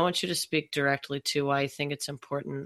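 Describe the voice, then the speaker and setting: An American-accented woman in a very clean recording with a silent background. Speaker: podcast host. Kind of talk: casual interview chat; scripted intro and outro.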